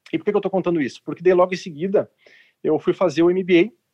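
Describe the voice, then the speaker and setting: A man's high-pitched voice with a dry, close sound and no echo. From southern Brazil, Porto Alegre. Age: 40s. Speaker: healthcare entrepreneur. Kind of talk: casual panel discussion.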